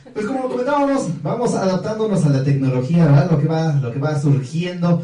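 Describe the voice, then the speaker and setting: The speech moves at a fairly quick pace. Behind it, background noise is noticeable. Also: man. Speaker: singer. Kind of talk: casual radio interview. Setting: radio studio.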